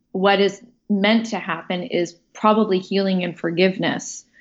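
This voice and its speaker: Medium in pitch, a woman speaks in a plain, everyday voice. She keeps a moderate pace and fairly even intonation. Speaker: actress, writer and director. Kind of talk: casual interview chat.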